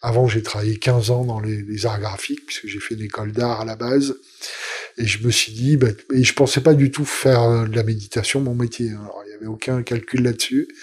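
A man's somewhat breathy, medium-pitched voice at a moderate pace, with monotone, flat intonation. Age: 50s. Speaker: meditation teacher. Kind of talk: interview. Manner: halting.

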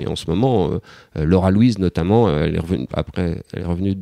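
A man's fairly low, dark, mellow voice at a fairly quick pace with ordinary pitch variation, in a very clean, dry, close recording with no echo and a silent background. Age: 50s. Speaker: father of four. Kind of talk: interview testimony. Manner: halting, repeats words.

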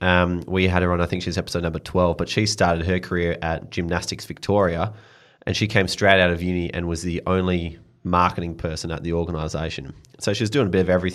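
The speaker has an Australian accent and talks very fast in a flat monotone. The recording is very clean, with a silent background. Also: man, very deep, low pitch for a man. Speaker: podcast co-host. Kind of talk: casual chat. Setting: studio.

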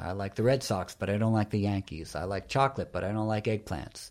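In a New York accent, a man speaks with a fairly low pitch. The recording is very clean, with a silent background. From New York City (Greenwich Village, Soho). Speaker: yoga teacher and author. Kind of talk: interview.

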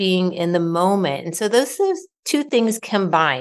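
Against a quiet background, a woman with an American accent and a plain, everyday voice speaks at medium pitch and a moderate pace. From Ohio. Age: 40s. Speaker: author and wellness coach. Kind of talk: interview conversation.

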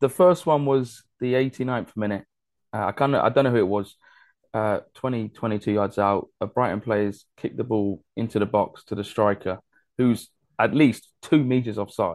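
Against a quiet background, a man talks at a medium pitch. His pitch varies in an ordinary way. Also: moderate pace. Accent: English. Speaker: football podcast host. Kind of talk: casual chat.

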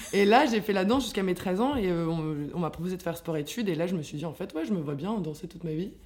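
Music plays in the background as the speaker talks at a very fast pace with lively intonation. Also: woman, medium pitch for a woman. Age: 20s. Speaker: dancer and yoga teacher. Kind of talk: casual chat.

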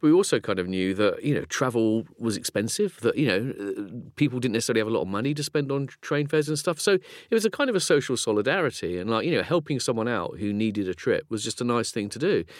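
Spoken with a southern English accent at a very fast pace with hardly any pauses, the voice has lively intonation on a very clean recording with a silent background. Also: man, medium pitch for a man. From southeast England (Folkestone, Kent). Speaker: philosopher and author. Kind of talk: casual chat.

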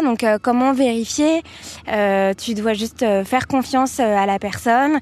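This woman's voice has a fairly high pitch. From Paris. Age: 20s. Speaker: marketing worker. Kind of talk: casual chat.

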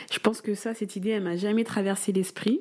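A woman's dark, mellow tone moves at a moderate speed. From Paris suburbs, France. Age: 20s. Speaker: medical resident and mother. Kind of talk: casual interview. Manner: hesitant, many fillers.

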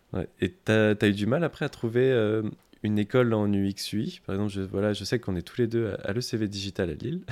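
On a very clean recording with a silent background, a man speaks at a fairly quick pace with a fairly low pitch and ordinary pitch variation. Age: 20s. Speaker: podcast host, UX/UI design apprentice. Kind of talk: interview. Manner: hesitant, many fillers.

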